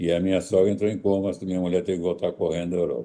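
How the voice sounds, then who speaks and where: A man's very deep, low, dark and mellow voice at a very fast pace against a quiet background. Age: 80s+. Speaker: astrologer. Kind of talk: interview.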